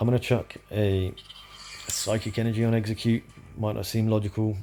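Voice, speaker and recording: A man's fairly quick, monotone, flat delivery with a British accent. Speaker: gaming commentator. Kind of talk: gameplay commentary. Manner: casual, conversational.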